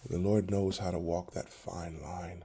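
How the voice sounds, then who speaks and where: Speaking at a very slow pace, a man has a very deep, low pitch, a dark, mellow tone, a somewhat breathy quality and fairly even intonation. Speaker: pastor. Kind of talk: devotional talk.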